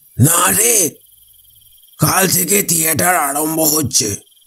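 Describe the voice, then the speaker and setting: A man puts on a character voice, speaking at a fairly slow pace with a fairly high pitch and very wide pitch swings. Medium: read story.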